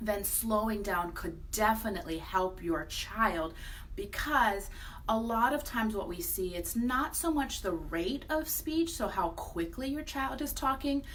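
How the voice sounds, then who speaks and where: Through noticeable background noise and audible room echo, a woman speaks fairly slowly at a fairly high pitch with very wide pitch swings. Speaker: speech therapist. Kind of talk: educational vlog.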